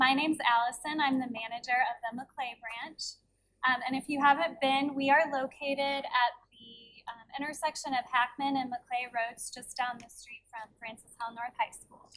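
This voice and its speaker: Soft-spoken with a bright, sharp tone, a woman at a high pitch talks at a moderate pace in fairly even intonation with big swings in loudness. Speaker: library branch manager. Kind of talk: board meeting presentation. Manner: reading from notes.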